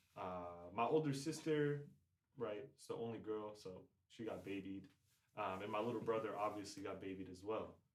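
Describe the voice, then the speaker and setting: A man with an American accent speaks at a moderate pace and a fairly low pitch, with ordinary pitch variation. His loudness swings widely, and there is audible room echo. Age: 20s. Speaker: semi-professional soccer player. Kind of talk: casual chat. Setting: podcast.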